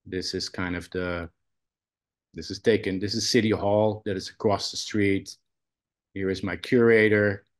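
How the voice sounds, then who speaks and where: With a Dutch accent, a man with a fairly low pitch speaks in a monotone, flat way at a moderate pace, taking long, frequent pauses over a quiet background. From Netherlands. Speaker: photographer and college professor. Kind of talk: presentation on video call. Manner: hesitant, many fillers.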